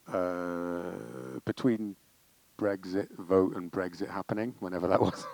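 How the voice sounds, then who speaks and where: A man with a Welsh accent talks at a very deep, low pitch and a fairly slow pace. His pitch varies in an ordinary way, and the sound is dry and close with no echo. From Wales. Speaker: comedy director and writer. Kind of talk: interview Q&A.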